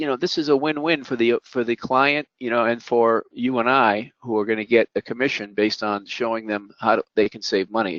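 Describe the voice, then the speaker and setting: At a fairly quick pace, a man talks with medium pitch and ordinary pitch variation. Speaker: business coach hosting a mastermind call. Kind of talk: business webinar presentation. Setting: online group call. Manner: fast.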